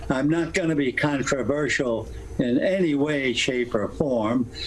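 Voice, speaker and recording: Noticeable background noise surrounds a man speaking at a fairly slow pace. His voice sits fairly high in pitch and has lively intonation. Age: 80s+. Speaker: retired baseball broadcaster. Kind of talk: interview answer.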